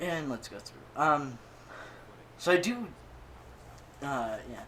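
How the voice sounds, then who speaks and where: A man mumbles, with audible room echo around his voice. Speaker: gaming YouTuber. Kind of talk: gameplay commentary. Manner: mumbling.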